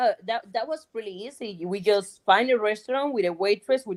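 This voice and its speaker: Speaking with a Cuban accent, a woman has a fairly high pitch. She keeps a moderate pace and ordinary pitch variation. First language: Spanish. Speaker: guest, friend of host. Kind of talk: interview.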